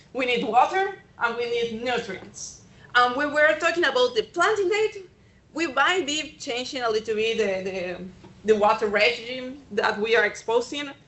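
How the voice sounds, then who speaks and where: A woman speaks at a high pitch and moderate pace, her intonation lively. Noticeable background noise is present. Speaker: extension agronomist. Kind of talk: presentation talk. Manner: hesitant, with fillers.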